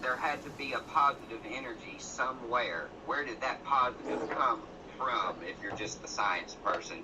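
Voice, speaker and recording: Over noticeable background noise, a man speaks at a moderate pace in a strong Southern US accent. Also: medium pitch for a man, ordinary pitch variation. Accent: thick Southern US. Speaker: guest speaker. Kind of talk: motivational speech.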